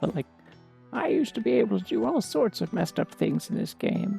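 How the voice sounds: Over clear music in the background, a man does a put-on character voice at a high pitch and a fairly quick pace.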